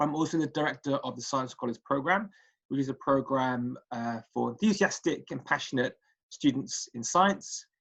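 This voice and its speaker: Speaking with a Welsh accent, a man uses a fairly high pitch and ordinary pitch variation. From Wales, Cardiff. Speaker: statistics lecturer. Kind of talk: recorded presentation. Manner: hesitant, many fillers.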